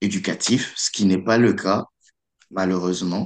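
Against a quiet background, a man with a very deep, low voice speaks with fairly even intonation. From DR Congo, Kinshasa. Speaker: student. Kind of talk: radio interview. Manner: halting, repeats words.

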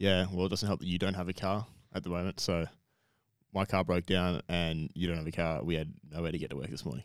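Speaking at a very fast pace, a man with an Australian accent has a very deep, low pitch, vocal fry and fairly even intonation in a very clean recording with a silent background. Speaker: podcast co-host. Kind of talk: casual chat.

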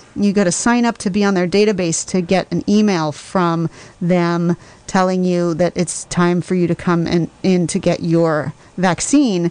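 A woman with an ordinary speaking voice, fairly low in pitch, speaks at a fairly slow pace with very even loudness and ordinary pitch variation. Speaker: radio host. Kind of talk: live radio talk show. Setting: studio.

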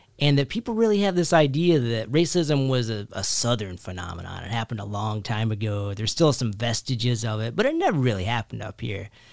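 A man with a medium pitch races along at a very fast pace, barely pausing, his intonation lively. Noticeable background noise sits behind him. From rural Kentucky. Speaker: writer and professor. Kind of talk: interview.

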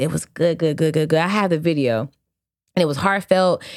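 An animated woman's voice, fairly low in pitch with ordinary variation, on a very clean recording with a silent background. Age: 30s. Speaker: podcast co-host. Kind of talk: casual chat.

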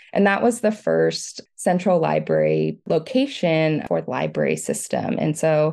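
A woman takes a fairly slow pace, and the background is quiet. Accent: American. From US South, Metro Atlanta, Georgia. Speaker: community archivist. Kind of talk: interview.

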